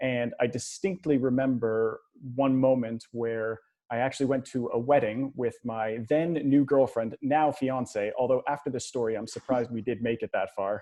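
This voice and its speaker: A man with a normal speaking voice keeps a moderate pace, a medium pitch, and fairly even intonation. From Canada. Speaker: money coach. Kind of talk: podcast interview.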